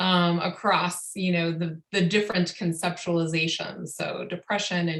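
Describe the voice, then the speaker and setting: A woman has an unremarkable speaking voice. Her pace is moderate. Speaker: psychotherapy trainer. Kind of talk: lecture.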